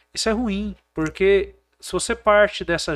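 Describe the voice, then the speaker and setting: The recording is very clean, with a silent background. A man speaks at a fairly slow pace, his pitch high for a man. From Brazil, Goiás (Porangatu). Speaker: businessman and former mayoral candidate. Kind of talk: casual chat.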